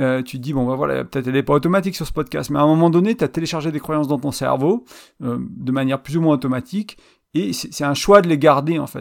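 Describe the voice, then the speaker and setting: A man talks at a fairly high pitch, varying it in an ordinary way. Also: very clean recording, silent background. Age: 30s. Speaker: relationship podcast host and blogger. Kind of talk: solo podcast monologue. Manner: hesitant, many fillers and repetitions.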